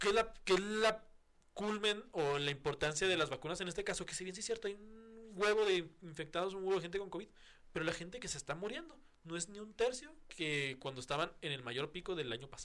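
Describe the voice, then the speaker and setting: In a Mexican accent, a man talks at a fairly quick pace with a high pitch. His intonation is lively. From Mexico. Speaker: podcast host. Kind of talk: casual chat.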